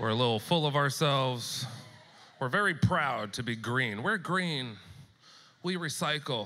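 This man talks at a fairly slow pace and a medium pitch. His intonation is lively. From California, US West Coast. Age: 30s. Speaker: stand-up comedian. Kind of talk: stand-up. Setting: stage with audience. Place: stage. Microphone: handheld.

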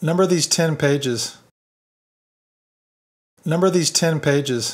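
In an American accent, a plain, everyday voice moves at a fairly slow pace with ordinary pitch variation. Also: man, fairly high pitch for a man. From United States. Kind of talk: listening practice sentence reading.

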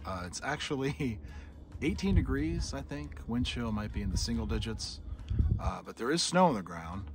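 Against noticeable background noise, a man with a very deep, low pitch makes very wide pitch swings and big swings in loudness. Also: moderate pace, dry sound with no echo. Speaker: travel vlogger. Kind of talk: casual vlog chat. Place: open country. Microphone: phone near.

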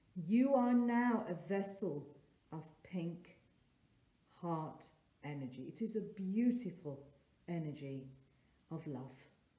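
A soft-spoken woman with a dark, mellow, gentle, warm tone sounds somewhat breathy and swings very widely in pitch. She talks at a very slow pace with long, frequent pauses, and audible room echo is present. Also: fairly low pitch for a woman, big swings in loudness. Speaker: therapist and meditation guide. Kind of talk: guided meditation. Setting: solo recording for online video. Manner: slow, soft, calming and gentle with long pauses; warm, nurturing, inviting. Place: home room. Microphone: phone near.

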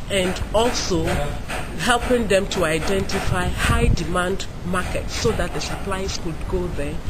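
Loud background noise runs under a woman's voice. She speaks at a fairly slow pace with ordinary pitch variation. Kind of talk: interview answer. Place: garden.

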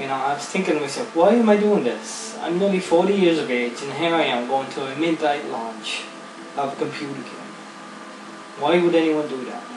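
A man speaks in a fairly high voice with lively intonation. Noticeable background noise can be heard. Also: moderate pace, big swings in loudness. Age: 40s. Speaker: gaming YouTuber. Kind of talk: gameplay commentary. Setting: home recording. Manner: casual.

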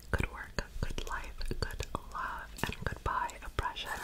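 A soft-spoken woman whispering at a very slow pace. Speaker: content creator. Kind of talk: soft casual ASMR-style chat. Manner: soft ASMR whisper reading a fortune. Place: home room. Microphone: phone near.

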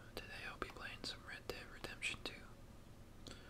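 Fairly slow speech against noticeable background noise. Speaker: gamer. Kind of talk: casual gaming commentary, ASMR-style talk to camera.

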